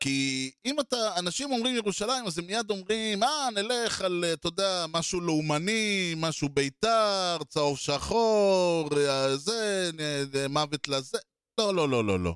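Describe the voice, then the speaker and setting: A man speaks in a high pitch with lively intonation and very even loudness. The sound is dry and close, with no echo. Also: fairly slow pace. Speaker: podcast co-host. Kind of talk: casual chat.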